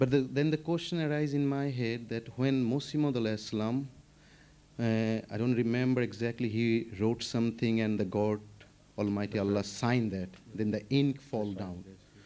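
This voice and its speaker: With a Bengali accent and a dark, mellow tone, the speaker keeps a moderate pace and ordinary pitch variation. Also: man. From Bangladesh. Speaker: audience member asking a question; audience member. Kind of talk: question from audience. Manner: halting. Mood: calm, inquiring. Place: studio. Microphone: studio mic.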